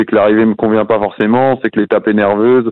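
A man speaks very fast at a medium pitch, his intonation flat and monotone. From western France, near Nantes. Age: 20s. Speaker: professional cyclist. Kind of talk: podcast interview.

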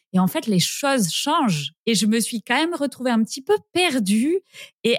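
A woman speaks very slowly in a fairly high voice, with a dry, close sound and no echo. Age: 30s. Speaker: horse owner. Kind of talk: interview.

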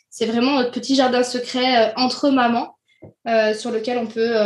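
A woman talks with a high pitch, keeping her speed moderate. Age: 20s. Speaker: childcare professional, club co-founder. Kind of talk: casual interview. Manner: hesitant, many fillers.

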